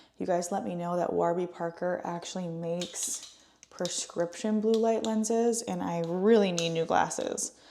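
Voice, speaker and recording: Noticeable background noise under a woman at medium pitch, ordinary in its pitch variation. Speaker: lifestyle vlogger. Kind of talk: casual vlog narration. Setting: at home. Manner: soft-spoken; casual, filler-heavy.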